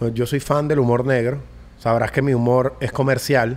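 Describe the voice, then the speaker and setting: With a Venezuelan accent, a man speaks at a moderate pace in a monotone, flat intonation. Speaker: podcast host. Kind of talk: casual chat. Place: studio. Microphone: studio mic.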